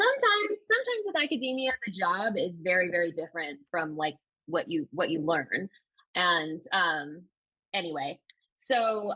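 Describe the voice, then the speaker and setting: The speaker sounds enthusiastic, with lively intonation. The pace is moderate. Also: woman. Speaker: novelist. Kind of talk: podcast interview.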